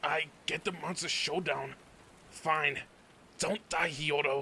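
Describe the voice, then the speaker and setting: A man puts on a raspy character voice pitched fairly high. He speaks at a fairly slow pace over clear background noise. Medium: read story.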